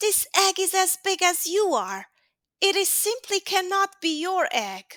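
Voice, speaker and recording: A woman uses a put-on character voice that is squeaky and extremely high-pitched. She speaks at a fairly slow pace. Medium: read story. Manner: wise, measured.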